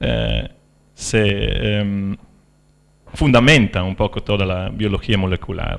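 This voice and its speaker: At a very slow pace, a man with a non-native accent speaks at a fairly low pitch in a very clean recording with a silent background. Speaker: philosopher of science. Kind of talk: lecture. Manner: halting, many fillers.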